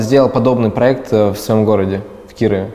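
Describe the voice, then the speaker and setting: A man speaks at medium pitch and a moderate pace. Audible room echo is present. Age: 20s. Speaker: video blogger and producer. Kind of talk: interview.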